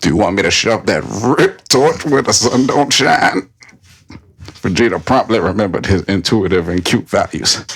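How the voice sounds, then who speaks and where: At a moderate pace, a man with an unremarkable speaking voice talks fairly low in pitch with lively intonation and very even loudness. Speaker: podcast host. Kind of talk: whispered ASMR-style reading of fan fiction on a comedy podcast.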